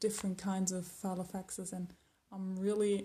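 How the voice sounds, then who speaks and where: The woman's voice sits at a medium pitch and is somewhat breathy. She talks at a moderate pace. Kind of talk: casual talk to camera. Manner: casual, hesitant.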